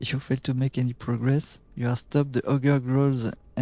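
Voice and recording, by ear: Someone is reading aloud in a natural voice here.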